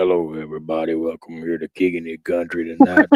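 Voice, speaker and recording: In a put-on character voice, a man talks at a very fast pace with a very deep, low pitch. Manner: smooth, exaggerated.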